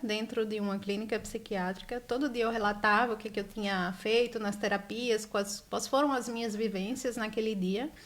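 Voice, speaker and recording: A woman speaks at a moderate pace with hardly any pauses. Her intonation is fairly even. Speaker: author. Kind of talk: interview. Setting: live stream.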